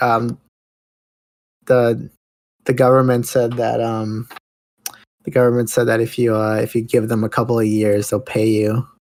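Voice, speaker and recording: A man's medium-pitched, monotone voice with flat intonation, at a moderate pace, broken by long, frequent pauses. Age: 20s. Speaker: podcast host. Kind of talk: casual chat.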